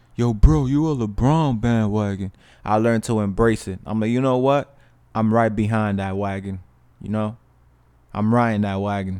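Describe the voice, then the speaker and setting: The man's voice sits at a fairly low pitch with a dark, mellow tone, captured on a very clean recording with a silent background. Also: ordinary pitch variation, moderate pace. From New York, Dominican family. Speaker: podcast host. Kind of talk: casual monologue.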